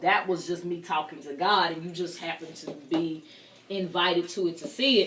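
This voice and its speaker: Noticeable background noise sits behind a woman talking at a fairly quick pace. Her pitch is fairly low, with ordinary variation. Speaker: talk show host. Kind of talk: interview. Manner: loud.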